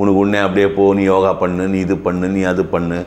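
The man's voice has a fairly low pitch. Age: 60s. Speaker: doctor. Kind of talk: casual chat. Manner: animated. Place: home room. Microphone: lapel.

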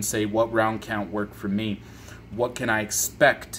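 Over light background noise, a man talks at a moderate pace and fairly low pitch. It is an unremarkable speaking voice. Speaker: channel host. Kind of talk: casual vlog chat. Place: home room. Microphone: phone near.

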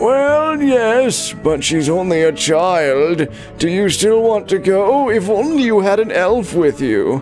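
A man's put-on character voice, high in pitch, at a fairly slow pace, with clear music in the background.

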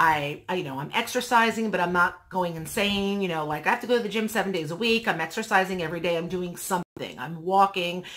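Against a quiet background, a woman speaks very fast with hardly any pauses and ordinary pitch variation. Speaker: vlogger. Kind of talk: casual vlog chat. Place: home room.

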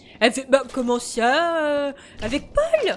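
Over light background noise, a woman does a put-on character voice, high and shrill, at a fairly slow pace. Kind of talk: casual gameplay commentary. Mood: puzzled, questioning.

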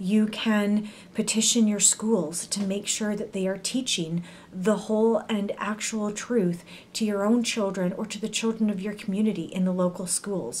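A woman speaks at a moderate pace with a western Canadian accent and monotone, flat intonation. Light background noise sits behind her. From Canada. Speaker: YouTuber; video blogger. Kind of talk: educational monologue. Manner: frequent filler words. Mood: serious, earnest. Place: home room. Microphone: webcam.

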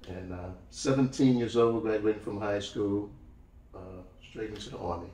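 In a room with audible echo, a man speaks in a fairly low voice with fairly even intonation. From New Orleans, Louisiana. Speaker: retired army musician and historical interpreter. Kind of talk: casual interview chat. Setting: studio, in person. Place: studio.

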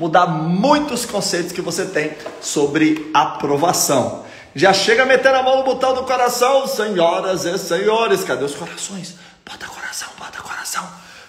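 Set in audible room echo, a man speaks at a fairly slow pace. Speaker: exam prep course host. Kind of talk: live stream talk to viewers. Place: home room. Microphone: phone near.

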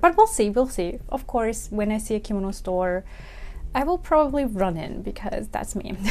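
The speaker is a woman. She talks at a moderate speed. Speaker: kimono vlogger. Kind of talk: casual vlog chat. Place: home room. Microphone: lapel.

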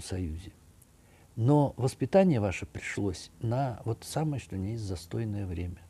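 Somewhat breathy and dark, mellow in tone, a man speaks at a fairly slow pace with a fairly low pitch and lively intonation. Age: 60s. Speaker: architect and art commentator; commentator. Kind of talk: video monologue. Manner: conversational, with hesitations. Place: home room. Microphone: webcam.

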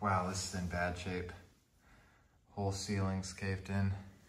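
A man's very deep, low voice, monotone and flat, at a fairly slow pace over noticeable background noise. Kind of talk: casual vlog commentary. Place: home room. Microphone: phone near.

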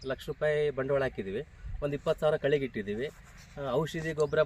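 In a normal speaking voice, a man with a fairly high pitch speaks with fairly even intonation. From Karnataka, Chitradurga district. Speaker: farmer. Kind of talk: interview.

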